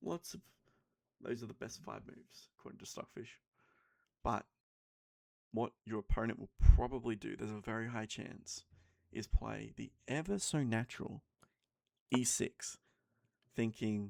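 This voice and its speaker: Quiet and dry, with a close sound and no echo, a man speaks at a moderate pace with long, frequent pauses and big swings in loudness. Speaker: chess streamer. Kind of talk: commentated chess game tutorial. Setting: home at night.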